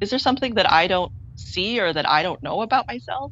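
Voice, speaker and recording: Speaking in a Canadian accent is a woman. She talks at a fairly quick pace. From Toronto area, Canada (Scarborough). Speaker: filmmaker and actor. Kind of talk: interview. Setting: remote video interview.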